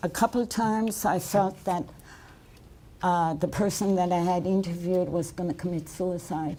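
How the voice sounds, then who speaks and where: Speaking at a fairly slow pace, a woman uses a fairly low pitch, a dark, mellow tone and fairly even intonation. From Nova Scotia, Canada. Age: 70s. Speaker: residential school survivor and author. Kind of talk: testimony. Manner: halting.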